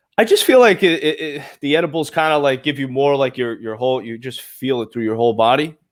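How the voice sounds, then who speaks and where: In a Brooklyn accent, a man talks very fast with hardly any pauses, at a fairly high pitch and with ordinary pitch variation. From Brooklyn, New York. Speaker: podcast host. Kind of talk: casual interview chat. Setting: live show.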